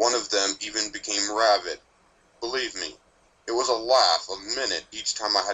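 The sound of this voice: Someone reads in an unforced voice. The delivery comes easily.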